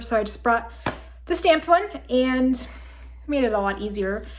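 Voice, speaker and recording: Lively intonation with vocal fry. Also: woman. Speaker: crafting video host. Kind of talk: casual chat.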